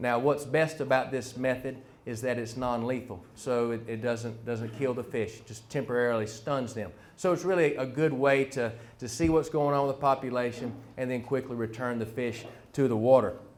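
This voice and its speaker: With a North Carolina accent, a man speaks at a moderate pace and medium pitch. His intonation is fairly even, but his loudness swings widely. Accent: rural North Carolina. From US South, North Carolina (Harnett County). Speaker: fisheries biologist. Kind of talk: public presentation. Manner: hesitant with frequent fillers.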